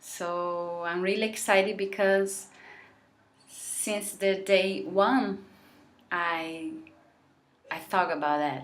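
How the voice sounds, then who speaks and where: Speaking very slowly with long, frequent pauses, a woman with a non-native accent uses a medium pitch while audible room echo surrounds her voice. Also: ordinary pitch variation. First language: Portuguese. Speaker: vlogger. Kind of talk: heartfelt vlog monologue. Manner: halting.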